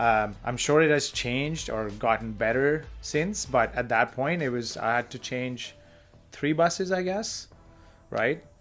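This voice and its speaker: A man with an Indian accent talks at a fairly slow pace, his pitch medium and his intonation lively. Music plays in the background. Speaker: podcast co-host. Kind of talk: casual chat.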